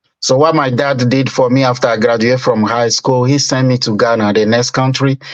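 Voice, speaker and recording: The speaker has a West African accent and talks at a fairly quick pace with very even loudness and monotone, flat intonation. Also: man, medium pitch for a man. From Togo, West Africa. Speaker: business owner. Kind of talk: interview.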